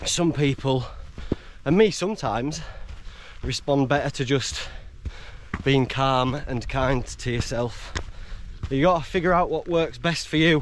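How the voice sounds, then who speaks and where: There are long, frequent pauses as a man talks at a fairly slow pace with ordinary pitch variation, the sound dry with no echo and light background noise behind. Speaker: solo hiker vlogger. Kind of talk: casual vlog chat. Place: open country. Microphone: phone near.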